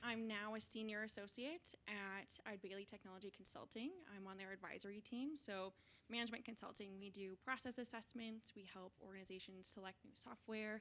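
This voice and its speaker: A woman's an unremarkable speaking voice, fairly high in pitch, with ordinary pitch variation at a fairly quick pace. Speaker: alumni panelist, management consultant. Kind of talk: panel talk to students.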